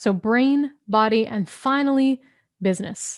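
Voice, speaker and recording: The recording is dry and close with no echo as a woman speaks in an animated tone at a fairly high pitch with ordinary pitch variation. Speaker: business coach. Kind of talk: live online training. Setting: live stream. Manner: fast.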